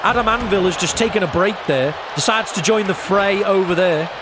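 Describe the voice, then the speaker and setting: With audible room echo and noticeable background noise, a man speaks in a high voice at a moderate pace with ordinary pitch variation. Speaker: gaming streamer doing wrestling commentary. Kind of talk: live commentary. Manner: animated.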